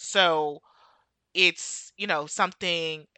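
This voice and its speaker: Animated in tone, a woman with an American accent speaks at a fairly low pitch. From US, Jamaican family. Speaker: podcast host. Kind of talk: casual chat. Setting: remote recording.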